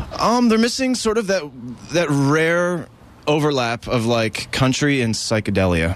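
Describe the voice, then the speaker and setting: A man with an American accent speaks fairly slowly at a fairly high pitch, his pitch swinging very widely while his loudness stays very even, with noticeable background noise. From Maryland. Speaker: rock musician. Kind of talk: casual interview.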